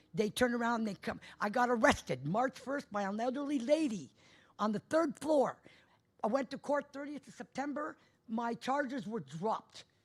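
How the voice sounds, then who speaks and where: A woman speaks loudly in a high pitch at a moderate pace. Her intonation is lively. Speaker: resident asking questions at public council meeting. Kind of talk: public question period complaint. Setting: council meeting. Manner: emotional, pressing.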